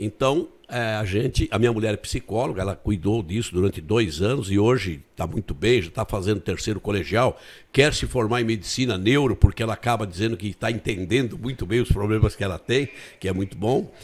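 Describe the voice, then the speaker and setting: On a very clean recording with a silent background, a man with a fairly low pitch and somewhat breathy voice speaks at a fairly quick pace with ordinary pitch variation. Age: 70s. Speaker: retired politician and teacher. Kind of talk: interview. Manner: halting, frequent repetitions.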